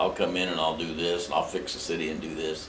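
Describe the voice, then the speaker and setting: Someone speaks at a moderate pace with an American accent. The room echo is audible, and background noise is noticeable. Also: man. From Indiana, US Midwest. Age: 70s. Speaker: mayoral candidate, retired marine. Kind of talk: interview. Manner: blunt, plain-spoken.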